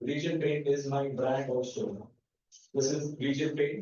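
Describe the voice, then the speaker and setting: Medium-pitched male voice with audible echo from the room. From India, Mumbai. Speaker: paint manufacturer and business owner. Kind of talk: lecture presentation. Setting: university lecture hall with audience.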